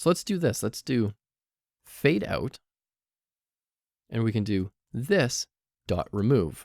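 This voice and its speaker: Lively intonation in a dry, close sound with no echo. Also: man, very clean recording, silent background. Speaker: programming instructor. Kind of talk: tutorial.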